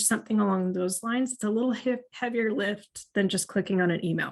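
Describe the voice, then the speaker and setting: Over a quiet background, a woman talks at a moderate pace in an unremarkable speaking voice, her fairly high pitch moving with ordinary variation. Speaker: marketing analytics trainer. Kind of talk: webinar presentation.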